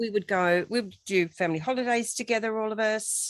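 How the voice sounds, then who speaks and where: A woman with an ordinary speaking voice talks at a moderate pace, using ordinary pitch variation. The sound is dry and close with no echo, over a quiet background. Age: 60s. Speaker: radio host. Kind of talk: interview conversation.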